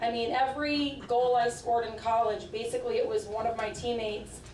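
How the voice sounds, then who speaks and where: Speech comes at a fairly quick pace. There is light background noise and audible room echo. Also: woman. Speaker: college coach. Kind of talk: acceptance speech. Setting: stage with audience. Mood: warm, modest, grateful. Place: hall. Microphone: podium.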